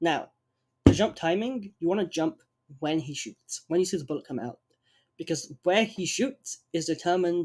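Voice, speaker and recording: This is a man speaking. His pitch sits high. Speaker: speedrunner. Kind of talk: game tutorial voiceover.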